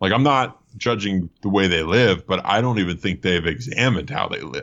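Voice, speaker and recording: In a plain, everyday voice with an American accent, the speaker uses lively intonation. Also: man. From US Northeast, suburban Philadelphia. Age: 30s. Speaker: comedian. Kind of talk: casual chat. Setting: video call.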